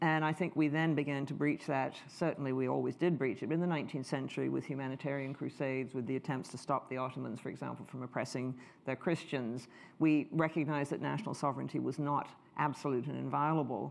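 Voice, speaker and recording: Talking very fast with vocal fry, a woman with a Canadian accent keeps a fairly even intonation at a very deep, low pitch. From Canada. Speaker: history professor; speaker. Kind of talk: lecture. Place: hall.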